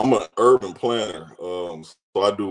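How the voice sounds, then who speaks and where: With a Nashville accent, a man speaks at a very deep, low pitch with fairly even intonation against a quiet background. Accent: Southern (Nashville). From Nashville, Tennessee; Tennessee. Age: 40s. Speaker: caller; guest. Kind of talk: casual chat. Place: home room. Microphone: video call.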